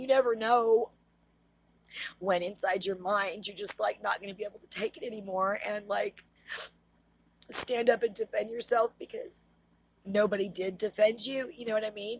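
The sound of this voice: Music plays behind a raspy, put-on character voice. It moves at a moderate pace with long, frequent pauses. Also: woman, fairly high pitch for a woman.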